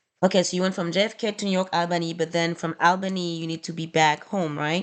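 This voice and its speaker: In a non-native accent, a woman with a fairly low pitch speaks in a flat monotone against a quiet background. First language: not English. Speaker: small trucking business owner. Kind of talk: screen-recorded spreadsheet tutorial. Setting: screen recording on laptop. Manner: casual, hesitant with fillers.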